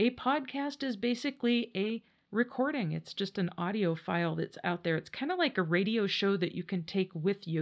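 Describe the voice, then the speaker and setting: Lively intonation marks this woman's normal speaking voice. Her pitch is medium and her pace moderate. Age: 50s. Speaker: podcast host. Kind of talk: casual solo monologue. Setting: home podcast studio.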